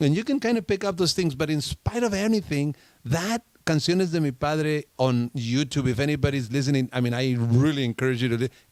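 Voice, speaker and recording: Recorded dry and close with no echo, a man with a Spanish accent speaks at a fairly quick pace and a fairly high pitch, with lively intonation and very even loudness. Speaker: radio show host. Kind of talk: casual interview chat. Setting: studio.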